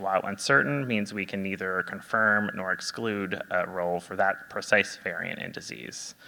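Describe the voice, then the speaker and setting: Soft-spoken delivery from a man at a moderate pace and fairly low pitch, over noticeable background noise. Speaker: genetic counselor. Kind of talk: presentation. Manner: halting, many fillers.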